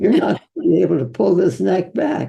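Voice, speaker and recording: With vocal fry, a woman speaks in a very deep, low voice with a dark, mellow tone. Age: 80s+. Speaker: physician. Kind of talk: interview answer.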